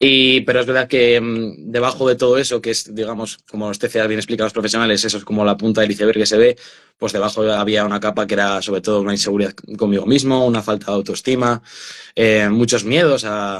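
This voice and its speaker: With fairly even intonation, a man talks very fast in a fairly low voice. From Spain, Burgos. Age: 20s. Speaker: author and mental health activist. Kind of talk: interview testimony. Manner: hesitant, many fillers and repetitions.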